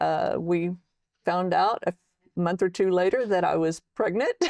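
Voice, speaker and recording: A woman with a Texan accent at a moderate pace. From Texas. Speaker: military veteran and author. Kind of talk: interview testimony.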